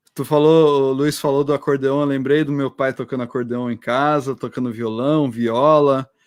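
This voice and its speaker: Monotone, flat intonation from a man at fairly high pitch, moderate pace and hardly any pauses. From interior of São Paulo state (Americana). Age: 40s. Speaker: oceanographer and teacher. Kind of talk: casual chat. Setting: online live stream.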